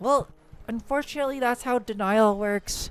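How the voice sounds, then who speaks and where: Music plays in the background as a woman talks at a moderate pace. Her pitch is fairly high, and her intonation fairly even. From Chinese. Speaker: VTuber streamer. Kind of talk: casual live stream chat. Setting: home streaming setup with face tracking.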